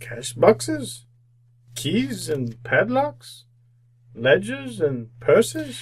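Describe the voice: Putting on a character voice, a man speaks very slowly at a high pitch with very wide pitch swings and a slightly husky edge.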